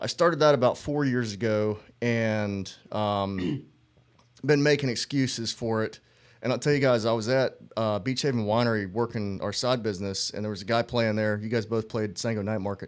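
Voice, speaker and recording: With a Southern US accent, a man speaks at a medium pitch and a moderate pace, his pitch varying in an ordinary way. The recording is very clean, with a silent background. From US South, North Carolina. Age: 40s. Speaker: musician and army veteran. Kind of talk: casual chat.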